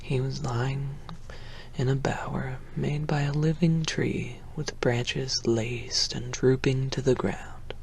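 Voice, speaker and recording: A soft-spoken man at a very slow pace, over noticeable background noise. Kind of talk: ASMR audiobook reading. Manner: soft-spoken, quiet.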